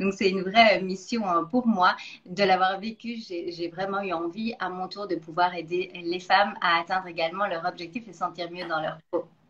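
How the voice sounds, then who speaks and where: Amid noticeable background noise, a woman speaks at a moderate pace with fairly even intonation. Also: medium pitch for a woman. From Belgium. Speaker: nutrition coach, interview host. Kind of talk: interview.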